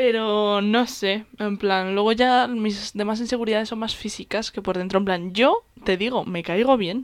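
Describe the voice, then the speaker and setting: At a fairly slow pace, a woman speaks in a fairly high voice with hardly any pauses. Her intonation stays fairly even. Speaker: podcast co-host. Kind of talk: casual chat. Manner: stumbles over words.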